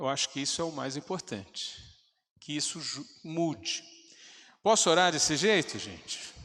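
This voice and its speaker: Fairly slow, bright, sharp speech from a man with a fairly high pitch, in a very clean recording with a silent background. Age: 60s. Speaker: pastor. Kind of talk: sermon. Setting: church.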